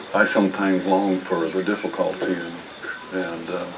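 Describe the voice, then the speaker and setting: Over noticeable background noise and audible room echo, a man with a very deep, low voice speaks at a moderate pace in a relaxed tone with monotone, flat intonation. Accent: American. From Ohio, US Midwest. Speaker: old-time mountain musician. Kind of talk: talk between songs at a live performance. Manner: relaxed, hesitant with many fillers.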